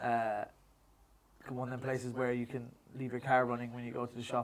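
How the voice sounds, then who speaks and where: Talking at a fairly quick pace, a man holds a medium pitch in a monotone, flat intonation. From Ireland, Kenmare, County Kerry. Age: 30s. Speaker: boxing coach. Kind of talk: casual chat. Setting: gym.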